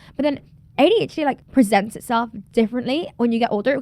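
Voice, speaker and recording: Her tone animated, a woman speaks with ordinary pitch variation. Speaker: podcaster. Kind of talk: casual monologue. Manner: fast.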